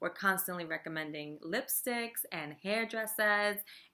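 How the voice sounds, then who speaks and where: In a New York accent, a woman speaks at a very slow pace. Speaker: fitness business coach and team leader. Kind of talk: casual talking-head tutorial. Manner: many filler words, um and you know.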